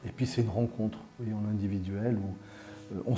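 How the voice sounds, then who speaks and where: A man is speaking. Music plays in the background. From southern France (Carcassonne), Algerian Kabyle family. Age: 60s. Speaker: career counselor. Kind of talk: interview monologue. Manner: hesitant, many fillers.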